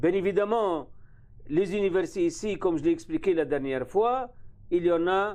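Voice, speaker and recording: With an Arabic accent, a man talks at a moderate pace in a high-pitched, dark, mellow voice with lively intonation against a quiet background. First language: Arabic (speaking French). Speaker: university vice-dean. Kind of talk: interview. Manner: halting.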